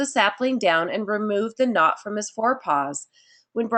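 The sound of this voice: The background stays quiet. An unforced reading voice carries lively intonation.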